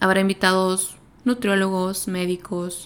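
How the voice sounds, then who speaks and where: A woman's flat, monotone delivery. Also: very clean recording, silent background. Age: 20s. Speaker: psychotherapist podcast host. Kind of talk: casual monologue.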